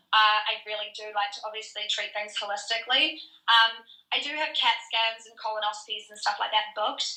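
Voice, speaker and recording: Here a woman speaks with a New Zealand accent. Her pitch is fairly high and her intonation fairly even. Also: fairly quick pace. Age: 30s. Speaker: fitness trainer and online coach. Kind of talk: podcast interview. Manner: casual, filler-heavy.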